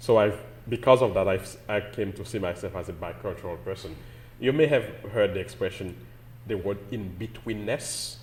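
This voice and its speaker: Speaking with a Haitian accent, a man with a fairly low pitch talks at a moderate pace with ordinary pitch variation. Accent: Caribbean (Haitian). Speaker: pastor. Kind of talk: interview.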